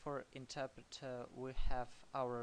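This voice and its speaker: A man talks at a very slow pace in a medium pitch. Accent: non-native. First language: not English. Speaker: programming tutor. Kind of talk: tutorial. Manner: halting, many fillers.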